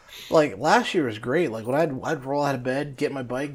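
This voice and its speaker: A man speaks with a fairly high voice. There is noticeable noise in the background. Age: 40s. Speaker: podcast co-host. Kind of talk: casual chat.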